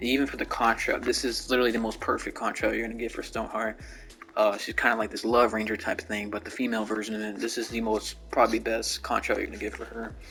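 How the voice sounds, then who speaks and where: A man rattles through his words at a very fast pace while music plays behind him. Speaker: gaming YouTuber. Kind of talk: casual gaming commentary over gameplay. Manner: casual, hesitant with fillers.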